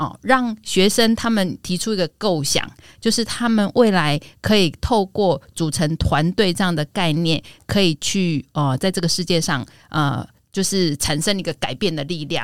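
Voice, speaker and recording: An ordinary speaking voice with lively intonation at a moderate pace, dry and close with no echo, in a very clean recording with a silent background. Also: woman, fairly low pitch for a woman. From Taiwan, Yilan. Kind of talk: casual chat.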